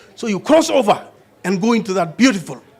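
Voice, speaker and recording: A man speaks with a Kenyan accent. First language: Kalenjin. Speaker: pastor. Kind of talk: sermon. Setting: church.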